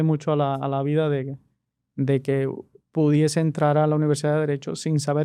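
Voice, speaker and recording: Fairly quick delivery in a Cuban accent, with a dark, mellow tone and monotone, flat intonation. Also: man. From rural Cuba. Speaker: immigration lawyer. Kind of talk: interview. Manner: halting, many restarts.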